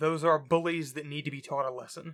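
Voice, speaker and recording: This man speaks with a fairly high pitch. His tone is bright and sharp. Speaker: indie game developer. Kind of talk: personal talk to camera.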